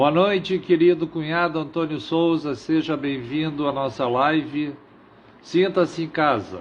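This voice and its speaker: A man's unremarkable speaking voice, fairly high in pitch, with ordinary pitch variation and a fairly slow pace. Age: 60s. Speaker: livestream host. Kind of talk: live stream monologue. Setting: live stream.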